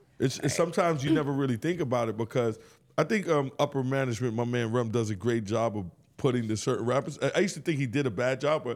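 Very fast speech from a man, his pitch medium and its variation ordinary. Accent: New York. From New York, Bronx. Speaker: podcast host. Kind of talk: casual chat.

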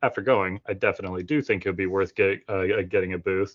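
A man with an American accent in an unremarkable speaking voice, his intonation fairly even. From Florida. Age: 30s. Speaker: 3D model designer for wargaming terrain. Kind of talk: casual chat.

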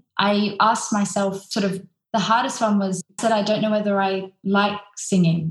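A somewhat breathy woman speaks with an Australian accent. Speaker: opera singer. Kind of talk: interview.

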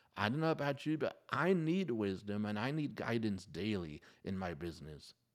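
At a moderate pace, a man speaks with a fairly low pitch and very wide pitch swings. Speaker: podcast host. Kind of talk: solo podcast talk with prayer. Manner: earnest, pleading; conversational, upbeat.

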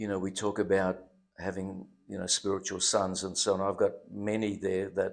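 Monotone, flat intonation runs through speech at a moderate pace. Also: man. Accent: Australian. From Western Australia, Perth (born in Germany, arrived very young). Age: 70s. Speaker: pastor. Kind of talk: casual interview, life story testimony. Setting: studio.

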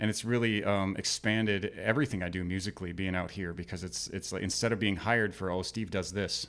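Spoken at a fairly quick pace with an American accent, the voice keeps a fairly even intonation on a very clean recording with a silent background. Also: man. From Minnesota, Minneapolis area. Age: 40s. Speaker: musician. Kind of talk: casual chat. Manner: halting, many repetitions and fillers.

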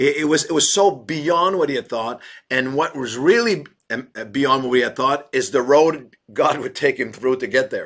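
At a moderate pace, a man with an unremarkable speaking voice talks in a fairly high pitch with ordinary pitch variation. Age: 60s. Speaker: pastor. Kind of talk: interview.

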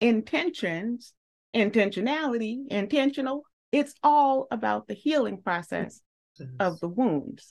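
The pace is fairly slow. The pitch swings very widely. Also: woman, fairly high pitch for a woman. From US South. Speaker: podcast host. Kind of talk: interview. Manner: emotional.

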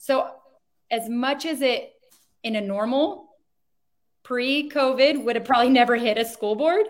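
A woman with a Californian accent talks at a moderate pace, leaving long, frequent pauses. Her pitch is high, with ordinary variation. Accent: Californian American English. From Southern California, Chino Valley. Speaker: school board candidate and parent. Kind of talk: interview.

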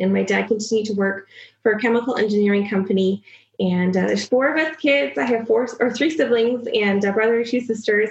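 At a fairly quick pace, a woman talks in a medium pitch with a slightly husky edge and fairly even intonation.

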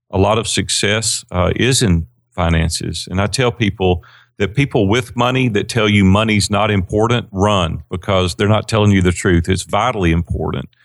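A man with a fairly low pitch and a Southern US accent speaks at a moderate pace with ordinary pitch variation and very even loudness, in a very clean recording with a silent background. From Tennessee, Nashville. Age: 50s. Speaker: business coach. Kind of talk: interview.

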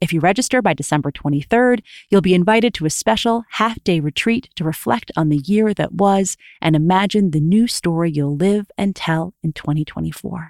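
A woman speaks in an ordinary speaking voice, with lively intonation at a moderate pace. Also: fairly low pitch for a woman, dry, close sound with no echo. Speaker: podcast host and storyteller. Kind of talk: interview.

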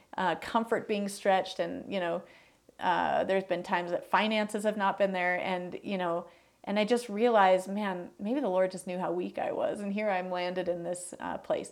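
In a plain, everyday voice with an American accent, a woman speaks at a medium pitch and moderate pace with fairly even intonation, on a very clean recording with a silent background. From US Midwest, Chicago northern suburbs. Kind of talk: testimony interview.

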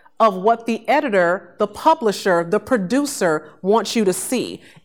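A woman's medium-pitched, unremarkable speaking voice with an American accent and lively intonation, in a very clean recording with a silent background. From Chicago, South Side. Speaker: podcast host and brand strategist. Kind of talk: motivational lecture. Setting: classroom with live audience.

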